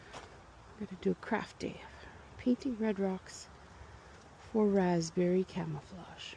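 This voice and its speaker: A soft-spoken woman at a very slow pace, her intonation fairly even, over noticeable background noise. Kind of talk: ASMR garden vlog, thinking out loud.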